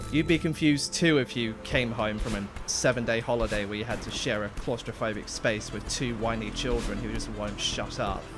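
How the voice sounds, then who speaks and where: A medium-pitched male voice with hardly any pauses over music in the background. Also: ordinary pitch variation. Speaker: gaming streamer. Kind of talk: live gameplay stream chat. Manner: halting.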